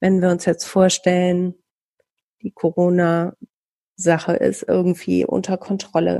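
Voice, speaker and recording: A woman speaks at a very slow pace. Her fairly low voice stays monotone and flat. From Bielefeld, Germany. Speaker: podcast host, radio worker. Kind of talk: casual interview.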